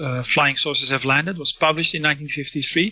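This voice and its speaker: Against noticeable background noise, a man speaks with a fairly high pitch and fairly even intonation. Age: 50s. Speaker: author and researcher on UFO history. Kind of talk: interview. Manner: halting, many fillers and restarts.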